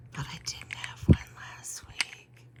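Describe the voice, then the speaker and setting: Whispering very slowly, a woman speaks over noticeable background noise. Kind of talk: ASMR rambling, casual talk. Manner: soft-spoken, close-mic.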